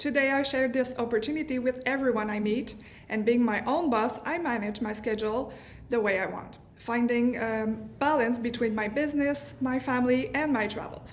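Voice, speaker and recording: The speaker talks at a moderate pace with ordinary pitch variation, amid audible room echo and noticeable background noise. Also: woman, high pitch for a woman. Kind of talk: prepared testimony speech.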